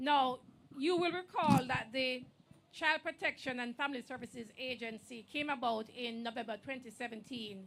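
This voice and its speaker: A woman's loud, high voice with ordinary pitch variation at a moderate pace. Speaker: government official speaker. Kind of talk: ceremonial speech.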